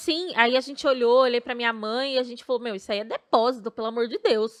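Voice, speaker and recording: A woman with a high voice talks at a very fast pace with fairly even intonation. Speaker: podcast host. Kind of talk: casual podcast conversation.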